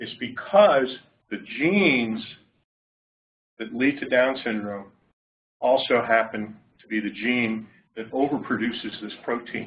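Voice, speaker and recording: A man at a fairly slow pace, with long, frequent pauses, big swings in loudness, ordinary pitch variation and audible room echo. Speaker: clinician researcher. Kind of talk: lecture. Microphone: far from the mic.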